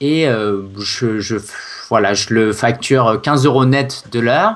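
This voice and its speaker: A man's medium-pitched voice at a very slow pace. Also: ordinary pitch variation. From France, Paris. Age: 20s. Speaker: SEO consultant and blogger. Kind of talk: interview. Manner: hesitant, many fillers.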